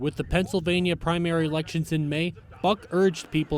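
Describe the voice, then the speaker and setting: A man delivers his words fairly quickly and fairly high, in a plain, everyday voice. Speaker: multimedia journalist. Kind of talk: TV news package narration.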